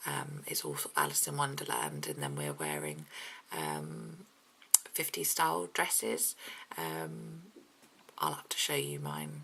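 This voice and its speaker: A woman with a very deep, low pitch talks quietly at a fairly slow pace, her intonation fairly even and broken by long, frequent pauses. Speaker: mummy vlogger. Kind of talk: casual vlog chat. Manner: hesitant, many ums.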